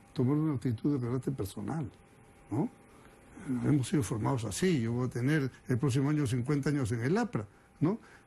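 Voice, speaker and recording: Speaking at a fairly quick pace yet with long, frequent pauses, a man uses a medium pitch, ordinary pitch variation and a dark, mellow, somewhat breathy tone. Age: 60s. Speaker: politician. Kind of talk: interview.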